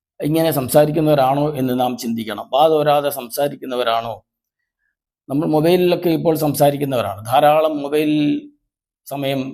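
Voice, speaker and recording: In a room with audible echo, a man talks in a fairly high pitch with a dark, mellow tone and ordinary pitch variation. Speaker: lay preacher. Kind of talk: sermon. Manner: formal.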